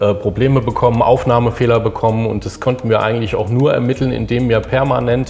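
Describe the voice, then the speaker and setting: Over noticeable background noise, a man talks at medium pitch in a flat monotone. His pace is very fast, with hardly any pauses. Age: 50s. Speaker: engineering design manager. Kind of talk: interview conversation.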